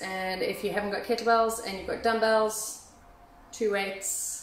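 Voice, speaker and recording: A woman talks with fairly even intonation. Audible room echo and light background noise are present. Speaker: fitness instructor. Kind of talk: workout instruction. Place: gym. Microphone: phone near.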